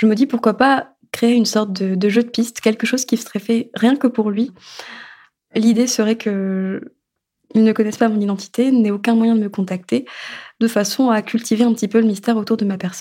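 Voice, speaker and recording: Her voice is fairly high-pitched, with a dark, mellow tone and a somewhat breathy quality. The woman keeps a moderate pace and fairly even intonation. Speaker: storyteller, narrating her own story. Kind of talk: personal testimony narration. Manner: halting, repeated words.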